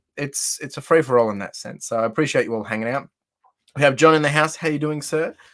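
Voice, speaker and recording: This man talks at a very fast pace with lively intonation. The recording is very clean, with a silent background. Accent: Australian. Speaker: live streamer, card collector. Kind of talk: casual live-stream chat. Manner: chatty, friendly.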